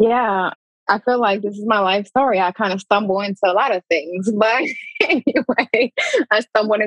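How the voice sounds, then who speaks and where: In a Detroit accent, a woman talks at a moderate pace with a fairly high pitch and ordinary pitch variation, recorded dry and close with no echo. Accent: Detroit-area American English. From US Midwest, Pontiac, Michigan (Metro Detroit). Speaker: former pro basketball player, social work PhD student. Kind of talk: casual chat. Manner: animated.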